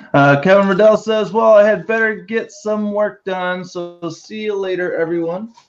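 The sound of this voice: Speaking at a moderate pace, a man with a high pitch shows ordinary pitch variation.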